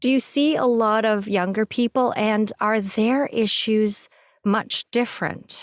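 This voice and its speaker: In an ordinary speaking voice, a woman talks at a fairly slow pace with fairly high pitch, fairly even intonation and very even loudness, the sound dry and close with no echo. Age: 60s. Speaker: podcast host. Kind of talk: interview.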